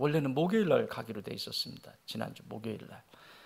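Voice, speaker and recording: A man with a fairly high voice talks at a fairly quick pace, his lively intonation edged with vocal fry. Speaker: senior pastor. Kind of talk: sermon.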